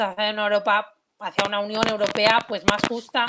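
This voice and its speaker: A woman at a fairly slow pace. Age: 20s. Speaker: politician. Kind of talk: online talk presentation. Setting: video call. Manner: hesitant, many fillers.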